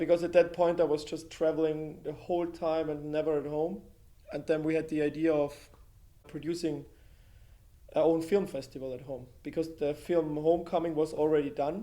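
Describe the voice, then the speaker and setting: At a moderate pace, the speaker delivers a dark, mellow tone in a monotone, flat intonation. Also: man, fairly high pitch for a man. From Austria, Carinthia. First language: German. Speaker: filmmaker and photographer. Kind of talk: interview conversation.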